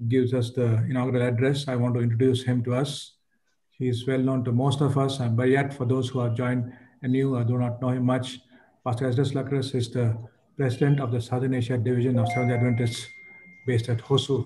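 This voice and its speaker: The voice is dark and mellow, somewhat breathy and flat in a monotone, moving at a very fast pace. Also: man. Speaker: host of an online church conference. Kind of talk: formal introduction of a guest. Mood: warm, respectful. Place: home room. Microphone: video call.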